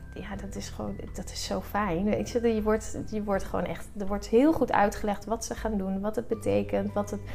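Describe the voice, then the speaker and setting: With music in the background, a woman talks at a moderate pace with hardly any pauses. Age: 30s. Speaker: breast cancer patient, blood bank donor assistant. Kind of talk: interview. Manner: halting.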